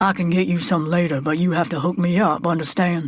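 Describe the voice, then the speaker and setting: In a put-on character voice at a middle pitch, the speaker moves at a fairly quick pace. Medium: read story. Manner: curt, dismissive.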